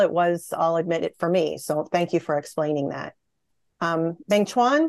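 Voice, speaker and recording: A woman's plain, everyday voice at a fairly low pitch and moderate pace, dry and close with no echo against a quiet background. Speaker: podcast host and researcher. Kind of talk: panel discussion. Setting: video call.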